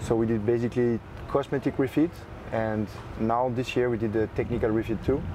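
A man with a French accent speaks at a fairly quick pace in a medium pitch, his loudness very even and his intonation fairly even. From France, Paris area. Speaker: yacht broker. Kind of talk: interview. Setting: on board a yacht at a boat show.

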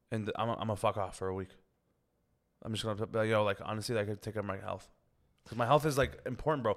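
Very fast speech from a man with a fairly low pitch, ordinary pitch variation and long, frequent pauses, on a very clean recording with a silent background. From Canada, Scarborough (Toronto). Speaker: comedian. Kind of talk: casual chat.

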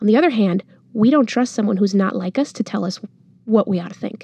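Speaking at a very fast pace in an American accent, a woman with a fairly high, somewhat breathy voice and a dark, mellow tone is recorded in a dry, close sound with no echo. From Monterrey, Mexico. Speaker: journalist, newsletter founder. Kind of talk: interview, casual conversation.

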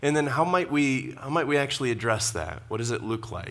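The speaker talks at a moderate pace, with audible room echo. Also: man. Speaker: pastor. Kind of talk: sermon.

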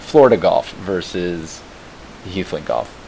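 A man with an American accent speaks over noticeable background noise. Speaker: podcast host. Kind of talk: interview, casual chat. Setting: remote recording with static.

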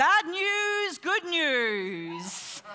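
A put-on character voice rides a high pitch with very wide pitch swings. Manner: bright, theatrical announcer style.

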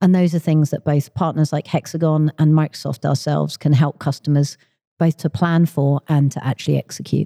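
A woman's very deep, low voice in a southern English accent, dark and mellow in tone, at a fairly quick pace with monotone, flat intonation and a dry, close sound with no echo. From London, England. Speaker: tech industry executive. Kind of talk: interview.

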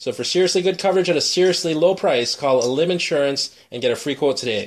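A man's high voice in a Chicago accent, very fast, with ordinary pitch variation. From Chicago area. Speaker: podcast host and editor. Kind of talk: casual chat. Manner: fast talker.

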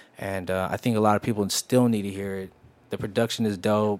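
A man with an American accent and a fairly low pitch speaks at a fairly quick pace. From San Jose, California. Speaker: R&B singer and rapper. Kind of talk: casual interview. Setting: studio.

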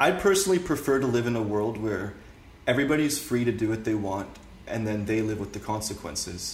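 Somewhat breathy, a man with a Canadian accent talks at a fairly quick pace with lively intonation, and audible room echo surrounds him. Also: medium pitch for a man. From Canada. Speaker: political commentator. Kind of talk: casual interview.

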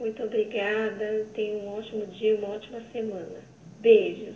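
Against noticeable background noise, a woman with a fairly high voice speaks at a fairly slow pace. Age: 30s. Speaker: coaching student giving testimony. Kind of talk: testimony.

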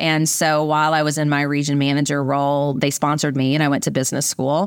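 A woman with a Southern US accent talks at a very fast pace, her very deep, low voice staying monotone and flat. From US South, rural Virginia. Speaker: biotech company CEO. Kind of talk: interview. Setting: podcast interview.

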